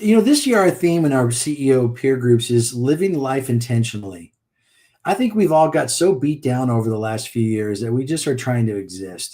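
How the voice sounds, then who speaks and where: A man speaks at a moderate pace in a dark, mellow tone. His intonation is lively. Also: medium pitch for a man, very clean recording, silent background. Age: 60s. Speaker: business coach. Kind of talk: podcast interview.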